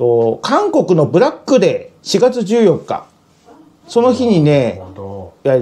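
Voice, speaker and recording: A man talks at a fairly slow pace. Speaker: guest. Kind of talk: casual explanatory chat. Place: kitchen.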